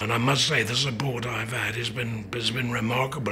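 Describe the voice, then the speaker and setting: A man talks at a fairly quick pace against light background noise. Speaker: laryngectomy patient. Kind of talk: interview answer. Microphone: lapel.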